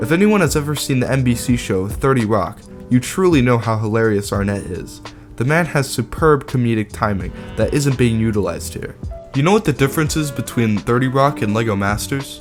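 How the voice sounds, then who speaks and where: Music plays in the background as a man talks. His pitch is medium and his pace fairly quick. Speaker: YouTube commentator. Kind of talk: video essay commentary.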